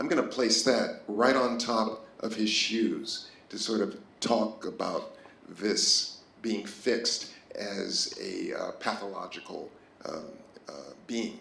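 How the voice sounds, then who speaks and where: Audible room echo and noticeable background noise surround a man speaking at a very slow pace. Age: 60s. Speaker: artist. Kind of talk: artist talk. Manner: halting.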